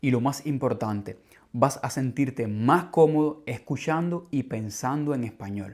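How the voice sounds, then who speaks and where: A man with an unremarkable speaking voice talks at a moderate pace and medium pitch. His pitch varies in an ordinary way on a very clean recording with a silent background. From Cuba. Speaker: language teacher, podcast host. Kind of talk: scripted podcast monologue for learners. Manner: clear, measured.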